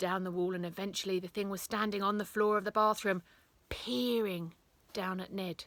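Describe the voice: The speaker does plain reading aloud, and the intonation is fairly even.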